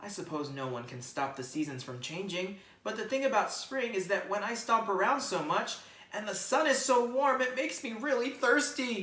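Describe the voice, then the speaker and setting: In a put-on character voice, a woman swings her pitch very widely around a fairly high register at a moderate pace, with audible echo and a rumbling underneath. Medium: read story. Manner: grumbling, complaining.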